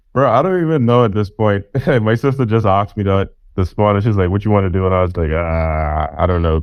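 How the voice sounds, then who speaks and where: An ordinary speaking voice from a man, fairly low in pitch with ordinary variation, at a fairly quick pace and very even loudness. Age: 20s. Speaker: podcast interviewer. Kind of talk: casual interview.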